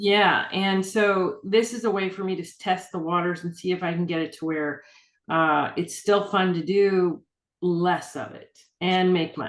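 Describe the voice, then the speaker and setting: This woman has an ordinary speaking voice at a medium pitch, with fairly even intonation. She talks at a fairly slow pace, and her loudness swings a lot. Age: 60s. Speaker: urban fantasy author. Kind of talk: casual interview chat. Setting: video call.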